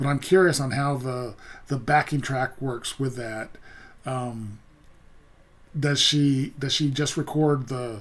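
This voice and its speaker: Over noticeable background noise, a man with a medium pitch talks at a very slow pace with fairly even intonation and long, frequent pauses. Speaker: music reaction youtuber. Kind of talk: casual commentary. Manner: halting, many fillers; mumbling.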